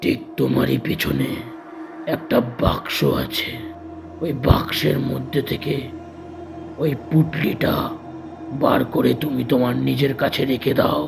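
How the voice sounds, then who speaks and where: A man puts on a character voice at a fairly slow pace. Clear background noise runs behind him. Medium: read story. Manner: commanding.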